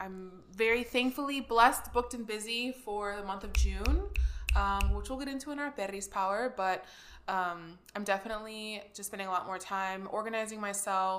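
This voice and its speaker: In an ordinary speaking voice, a woman at medium pitch keeps a moderate pace while her loudness swings widely. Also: ordinary pitch variation. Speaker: podcast host. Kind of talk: casual chat.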